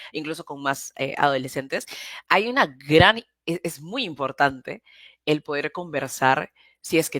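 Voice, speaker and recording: Pitch varies in an ordinary way, and the sound is dry and close with no echo. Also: woman. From Peru. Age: 20s. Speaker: political activist, platform founder. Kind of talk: interview conversation. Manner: hesitant, many fillers and restarts.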